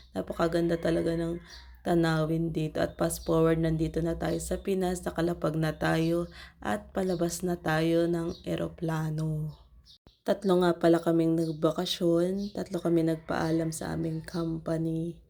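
The background is silent and the recording very clean. Her pace, as a woman speaking, is fairly slow. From Philippines. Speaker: vlogger, overseas Filipino worker. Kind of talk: travel vlog voiceover.

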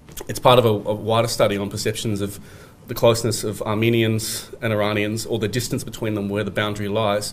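With an Australian accent, a man talks very fast in a fairly low, monotone, flat voice. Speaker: academic researcher; conference presenter. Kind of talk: conference presentation. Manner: halting, many fillers. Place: hall. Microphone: podium.

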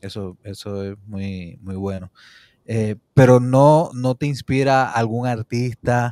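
A man with a dark, mellow tone, a very slow pace, ordinary pitch variation and big swings in loudness, in a dry sound with no echo and a quiet background. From Puerto Rico. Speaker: interview show host. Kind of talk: interview. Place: home room. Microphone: studio mic.

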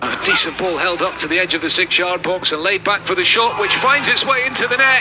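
Talking very fast with hardly any pauses, a man uses a high voice and lively intonation. Noticeable background noise can be heard. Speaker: football commentator. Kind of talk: live match commentary over highlights. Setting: highlights video with stadium commentary.

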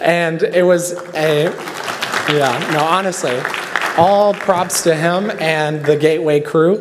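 There is noticeable background noise. A man with an American accent speaks at a very slow pace. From US West, northeastern Nevada. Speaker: university student. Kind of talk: speech at a conference luncheon. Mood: warm, grateful. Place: hall. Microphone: podium.

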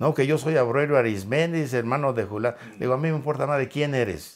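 A man's medium-pitched voice, with ordinary pitch variation, comes through a very clean recording against a silent background. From Mexico. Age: 60s. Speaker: interview guest, ex-prisoner. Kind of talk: interview, personal storytelling.

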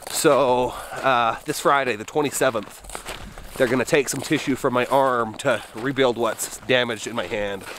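A man speaks at a fairly slow pace. Light background noise is present. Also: dry sound with no echo. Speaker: outdoor vlogger. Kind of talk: casual vlog chat. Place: forest. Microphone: phone near.

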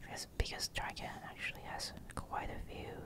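A woman whispers at a fairly slow pace. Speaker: ASMR creator. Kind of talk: ASMR whispered show-and-tell. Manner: whispered, soft-spoken. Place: home room.

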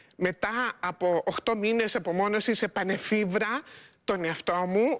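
Against a quiet background, a woman is talking. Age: 60s. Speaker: psychologist and author; guest. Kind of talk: TV interview. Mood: warm, smiling. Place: studio. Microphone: lapel.

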